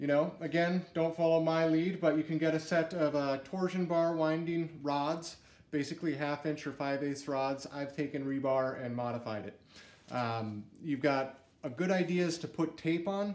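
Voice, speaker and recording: Speaking at a moderate pace with ordinary pitch variation, a man is heard amid audible room echo. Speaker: presenter. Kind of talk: tutorial. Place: garage. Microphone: camera far.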